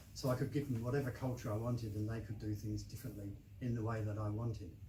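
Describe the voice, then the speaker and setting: A man talks at a fairly quick pace in a fairly low voice. His intonation stays fairly even over noticeable background noise. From southeast England. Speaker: novelist. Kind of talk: interview answer.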